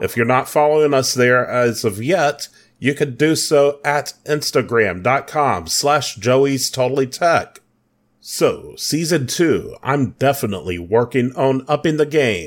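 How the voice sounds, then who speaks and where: A man with a plain, everyday voice speaks at a fairly slow pace in a fairly high pitch with ordinary variation and very even loudness. The recording is very clean, with a silent background. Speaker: podcast host. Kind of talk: solo podcast monologue.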